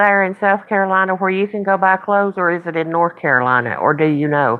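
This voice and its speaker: A woman with an American accent talks at a fairly quick pace with hardly any pauses, medium pitch and ordinary pitch variation. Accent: noticeable accent, others remark on it. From Virginia. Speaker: live stream host. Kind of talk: casual live stream chat.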